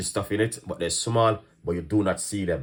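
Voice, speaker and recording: A man's animated voice in a Jamaican accent, fairly low in pitch, on a very clean recording with a silent background. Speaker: chef and online cooking host. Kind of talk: live stream chat. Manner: fast.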